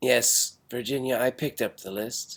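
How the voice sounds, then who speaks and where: A man puts on a raspy character voice at medium pitch and a moderate pace. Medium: short film. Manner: flat, matter-of-fact.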